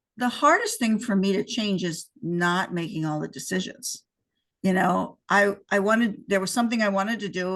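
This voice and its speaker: A woman in a normal speaking voice talks at a moderate pace with medium pitch and ordinary pitch variation. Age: 60s. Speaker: entrepreneur who sold her business. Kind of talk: casual interview.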